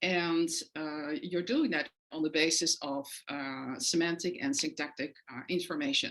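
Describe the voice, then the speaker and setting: Very deep and low in pitch, a woman with a Dutch accent speaks at a fairly slow pace. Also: ordinary pitch variation. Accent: foreign accent (Dutch). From Netherlands. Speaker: professor. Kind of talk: lecture. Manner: frequent hesitations (uh, um).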